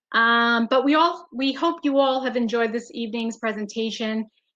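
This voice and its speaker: A woman speaks at a moderate pace in a fairly high pitch with ordinary pitch variation, a plain, everyday voice. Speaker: webinar presenter. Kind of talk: webinar demonstration.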